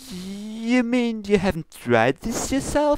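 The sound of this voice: At a slow pace, a man uses a put-on character voice pitched high, with big pitch swings in a dry, close sound with no echo.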